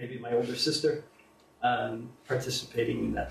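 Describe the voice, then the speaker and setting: A man with an American accent speaks with fairly even intonation, and some room echo can be heard. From USA. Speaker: invited speaker on alternative economics. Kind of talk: public talk to an audience.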